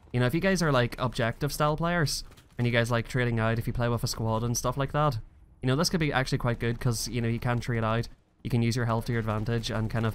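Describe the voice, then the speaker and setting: The speech moves at a very fast pace. Intonation stays fairly even. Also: man. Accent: Northern Irish. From Northern Ireland. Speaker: gaming youtuber. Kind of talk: gameplay commentary. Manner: casual, hesitant with fillers.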